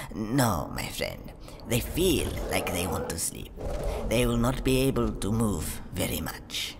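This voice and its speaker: Using a put-on character voice, a man speaks at a fairly slow pace with clear background noise. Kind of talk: roleplay story dialogue.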